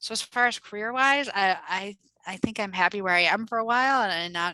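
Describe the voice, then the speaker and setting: A woman speaks in a Midwestern accent with a bright, sharp tone and ordinary pitch variation. The sound is dry and close, with no echo. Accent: Midwest. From US Midwest, Minnesota (Minneapolis suburbs). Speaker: development nonprofit executive. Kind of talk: interview. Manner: casual, halting with fillers.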